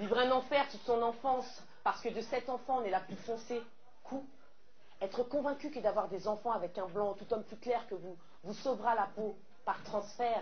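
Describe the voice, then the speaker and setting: A woman with a fairly high voice talks with ordinary pitch variation while noticeable background noise carries on behind her. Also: moderate pace. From French Caribbean. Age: young. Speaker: slam poet. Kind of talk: slam poetry performance.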